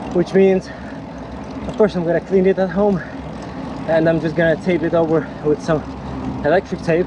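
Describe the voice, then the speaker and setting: The speech moves at a moderate pace in a flat monotone, with long, frequent pauses and noticeable noise in the background. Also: man, high pitch for a man. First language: not English. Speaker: amateur triathlete and cycling vlogger. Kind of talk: casual vlog narration while riding. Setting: outdoors on a bike ride. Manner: relaxed, thinking aloud.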